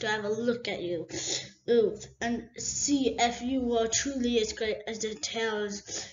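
It is an unforced reading voice. The intonation is fairly even.

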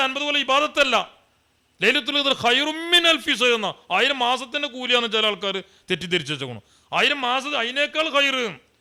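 Bright, sharp tone in a raised, projected voice. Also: man. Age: 50s. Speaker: Islamic preacher. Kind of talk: sermon.

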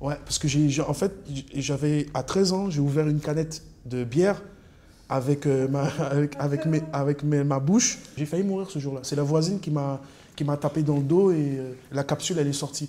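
This man talks at a moderate pace in a fairly high voice. His intonation stays fairly even. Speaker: rapper. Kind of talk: interview answer. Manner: hesitant, casual.

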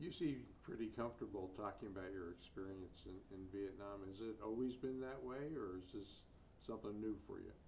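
Against light background noise, a man with a fairly low pitch speaks in a somewhat breathy voice with ordinary pitch variation. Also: fairly quick pace. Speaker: public broadcasting interviewer. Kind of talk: oral history interview. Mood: gentle, conversational. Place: studio.

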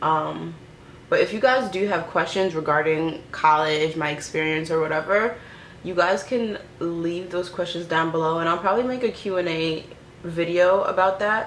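With light background noise and audible room echo, a woman speaks at a moderate pace in a fairly low pitch with ordinary pitch variation. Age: 20s. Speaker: YouTuber, recent college graduate. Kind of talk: casual vlog chat while doing makeup. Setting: at home in front of a camera and mirror. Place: home room. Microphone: phone near.

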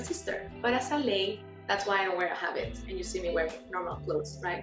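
At a fairly quick pace, a woman talks over clear music in the background. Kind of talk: interview answer. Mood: warm, cheerful. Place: home room. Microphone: video call.

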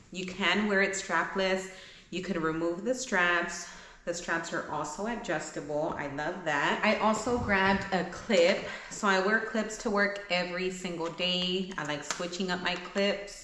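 Over light background noise and audible room echo, a woman talks at a fairly slow pace with fairly even intonation. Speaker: vlogger. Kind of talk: casual try-on haul chat. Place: home room.

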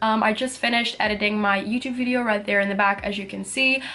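Fairly quick female speech, its pitch moving in an ordinary way. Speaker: vlogger. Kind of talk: casual vlog chat. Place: home room. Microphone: phone near.

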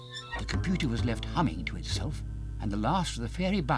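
The clip features an unforced reading voice. The words are read aloud.

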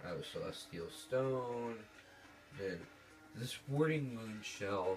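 A quiet man at a medium pitch and a very slow pace, with music in the background. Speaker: gamer. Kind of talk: gameplay commentary.

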